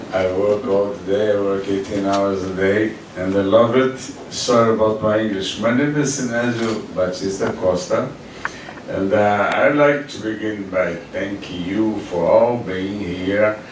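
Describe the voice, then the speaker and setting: Over noticeable background noise and audible room echo, a man speaks at a fairly low pitch, fairly slowly, with fairly even intonation. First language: Portuguese. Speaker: foundation founder. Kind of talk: speech. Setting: event with audience. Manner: halting non-native English.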